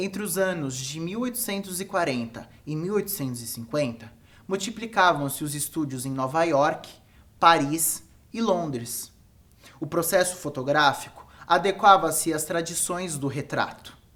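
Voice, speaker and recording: A man with a high pitch speaks at a fairly slow pace, his tone bright and sharp and his intonation lively, with audible room echo. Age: 20s. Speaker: photographer and educator. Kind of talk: lecture. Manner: formal.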